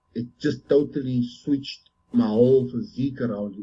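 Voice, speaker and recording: A dark, mellow tone with lively intonation and a somewhat breathy quality. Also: man. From South Africa. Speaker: professional bodybuilder. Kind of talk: interview. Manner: halting.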